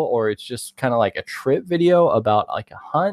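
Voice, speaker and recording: Using lively intonation, a man with an American accent talks at a fairly quick pace. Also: dry, close sound with no echo. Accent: Texas accent, varies in strength. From Texas. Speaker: hunting content creator. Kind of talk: casual chat.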